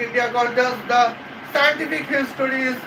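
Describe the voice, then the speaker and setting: This man's voice is raised and projected at an extremely high pitch. Noticeable background noise sits behind him. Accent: Bengali. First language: Bengali. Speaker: YouTube commentator. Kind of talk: casual commentary. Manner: halting, many fillers.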